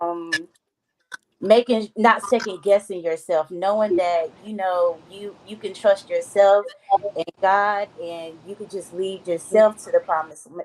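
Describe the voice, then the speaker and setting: A woman with a normal speaking voice talks at a fairly slow pace, medium in pitch with fairly even intonation. Her loudness swings widely, and the sound is dry and close with no echo. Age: 30s. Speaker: hairstylist. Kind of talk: panel discussion.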